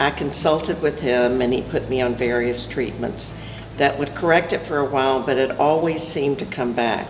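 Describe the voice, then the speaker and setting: Through noticeable background noise and audible room echo, a woman speaks at a moderate pace with a very deep, low pitch and fairly even intonation. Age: 70s. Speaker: cancer survivor. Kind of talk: testimony.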